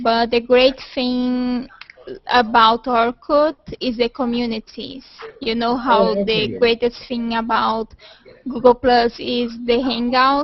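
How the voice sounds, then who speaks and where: Very slow, monotone, flat speech from a high-pitched woman with a Portuguese accent, with noticeable background noise. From Brazil. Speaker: video call participant. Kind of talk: casual chat.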